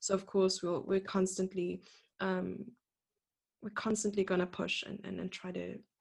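The recording is very clean, with a silent background. A woman of medium pitch talks at a fairly quick pace, with vocal fry. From South Africa, Port Elizabeth. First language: French. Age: 20s. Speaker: chess master and chess coach. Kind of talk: casual interview chat.

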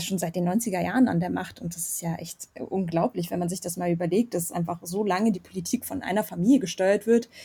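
On a very clean recording with a silent background, a woman speaks in a somewhat breathy voice with a dark, mellow tone. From Germany. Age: 20s. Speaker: student, Armenian diaspora youth activist. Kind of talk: casual interview.

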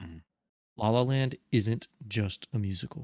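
A man has an unremarkable speaking voice at medium pitch with ordinary pitch variation. The sound is dry and close, with no echo. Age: young. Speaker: podcast host. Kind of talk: casual chat.

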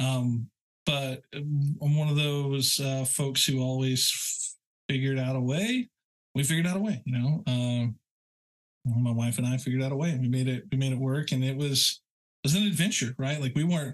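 This man has an unremarkable speaking voice at a medium pitch, with ordinary pitch variation. His loudness stays very even, and his pace is moderate. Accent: American. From rural Oklahoma. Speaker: web developer and architect. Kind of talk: casual interview chat.

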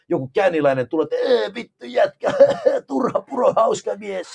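A man with an English accent talks at a moderate pace, the sound dry and close with no echo. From Canada, Finnish immigrant family. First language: English (speaking Finnish). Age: 40s. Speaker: professional wrestler. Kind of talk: casual chat.

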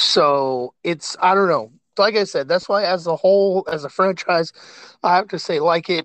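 An American accent comes through with a dry, close sound and no echo. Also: man, high pitch for a man, ordinary pitch variation, moderate pace. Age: 30s. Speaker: podcast host. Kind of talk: casual chat.

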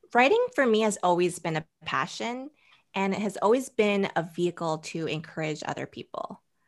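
Speaking at a moderate pace with an American accent, a woman uses a normal speaking voice at medium pitch with lively intonation, on a very clean recording with a silent background. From US Northeast (Boston, then New Jersey). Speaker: blogger and stylist. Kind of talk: interview conversation.

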